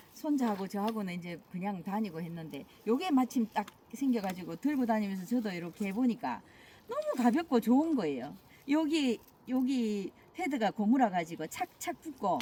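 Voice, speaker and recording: A woman's fairly high voice at a moderate pace, full of very wide pitch swings. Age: 60s. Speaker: barefoot hiker. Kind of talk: interview.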